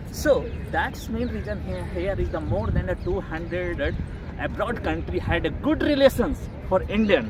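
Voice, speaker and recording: Noticeable background noise fills the clip. A man talks at a moderate pace. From rural North India. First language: Bhojpuri, Maithili, Magahi, Hindi. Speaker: vlogger. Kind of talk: outdoor vlog tour commentary. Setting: outdoors at a monument. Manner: halting, non-fluent English.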